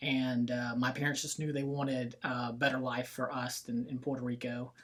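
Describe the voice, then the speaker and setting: A man speaks with monotone, flat intonation. Noticeable background noise is present. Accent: Southern. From US South, Florida Panhandle (Bay County). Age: 20s. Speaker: real estate business owner. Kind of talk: casual interview chat.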